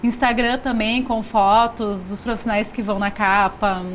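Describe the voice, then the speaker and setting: Here is a woman with a fairly high pitch. Her intonation stays monotone and flat. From Rio Grande do Sul, Brazil. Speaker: magazine publisher. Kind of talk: TV interview. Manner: casual, frequent fillers.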